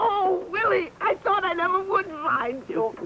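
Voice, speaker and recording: Using a put-on character voice, a woman speaks fairly slowly at an extremely high pitch, with clear background noise behind her. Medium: short film. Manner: warm, excitable.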